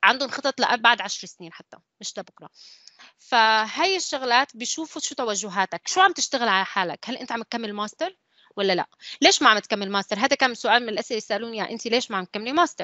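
A woman's normal speaking voice, fairly high and fairly quick, with lively intonation and big swings in loudness. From UAE (Syrian family). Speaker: civil engineer, design manager. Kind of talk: online panel talk.

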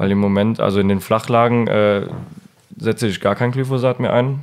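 With a normal speaking voice, a man talks at a fairly low pitch and with fairly even intonation. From Mosel region, Germany. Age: 20s. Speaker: winemaker. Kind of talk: interview.

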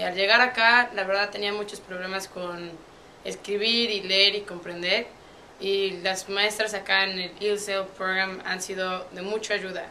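Over light background noise, the voice moves at a fairly slow pace with monotone, flat intonation. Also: woman. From Puebla, Mexico. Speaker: university student athlete. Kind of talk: interview answer. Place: office.

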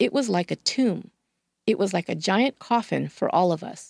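Over a very clean recording with a silent background and a dry, close sound with no echo, a woman speaks at medium pitch with lively intonation and vocal fry. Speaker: true crime podcast host. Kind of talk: scripted true-crime narration. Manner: measured, steady storyteller.

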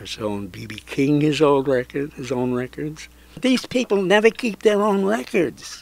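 The sound is dry with no echo as a man with a fairly high pitch talks fairly slowly, his voice moving in very wide pitch swings. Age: 80s+. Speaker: record store owner. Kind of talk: interview answer. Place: shop.

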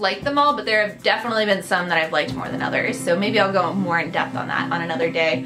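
Over clear music in the background, a woman talks at a very fast pace. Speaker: book vlogger. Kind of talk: casual vlog chat. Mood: enthusiastic, friendly. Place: home room. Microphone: phone near.

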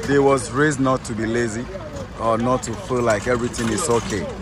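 A man's voice comes through dry with no echo, under noticeable background noise. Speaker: local tour guide. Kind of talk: explanatory tour commentary. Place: market. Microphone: phone near.

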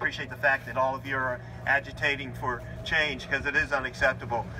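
Light background noise can be heard. Over it, a man speaks very fast. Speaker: county politician. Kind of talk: public speech. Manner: loud. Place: street.

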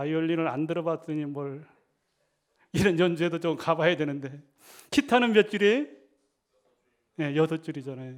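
A man speaks at a moderate pace in a fairly high voice with ordinary pitch variation, leaving long, frequent pauses. The recording is very clean, with a silent background. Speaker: Salvation Army officer, pastor. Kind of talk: sermon.

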